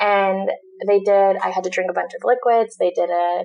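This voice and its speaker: A woman with an American accent speaks in a normal speaking voice at a fairly quick pace with lively intonation. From Southern California. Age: 20s. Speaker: digital marketing entrepreneur. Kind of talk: casual chat.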